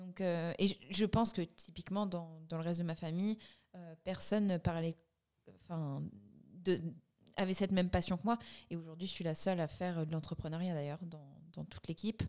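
Long pauses come often in this moderately paced speech, and the loudness swings widely. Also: woman, fairly low pitch for a woman, fairly even intonation. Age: 30s. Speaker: brand co-founder. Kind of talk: casual interview.

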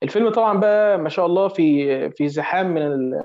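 A man's voice shows ordinary pitch variation. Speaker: film podcast panelist. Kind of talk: casual chat.

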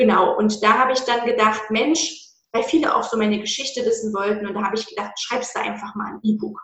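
A woman talks at a fairly quick pace in an unremarkable speaking voice. Her pitch is fairly high and her intonation fairly even. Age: 20s. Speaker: anti-diet coach. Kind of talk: interview.

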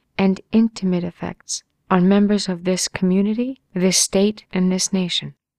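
With an unremarkable speaking voice, a woman talks at a fairly slow pace in a medium pitch with an American accent, the sound dry and close with no echo. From Long Island, New York. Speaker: congressional candidate, pharmacist. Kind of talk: scripted campaign monologue.

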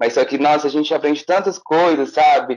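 A man speaks with fairly even intonation. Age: 20s. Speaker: visual artist and art student. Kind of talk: interview.

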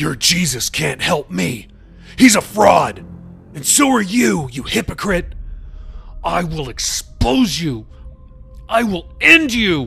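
A man's put-on character voice, shouting and projected, high-pitched, at a fairly slow pace with long, frequent pauses over clear background music. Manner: yelling, arrogant, threatening.

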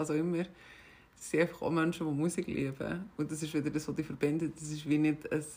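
A woman's fairly low voice with a Swiss accent, fairly quick and monotone with flat intonation, on a very clean recording with a silent background. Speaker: podcast co-host and DJ. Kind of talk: casual chat.

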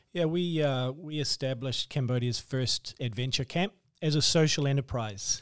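On a very clean recording with a silent background and a dry, close sound with no echo, a man with a New Zealand accent speaks at a fairly high pitch with ordinary pitch variation. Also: moderate pace. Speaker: author and missionary. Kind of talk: interview.

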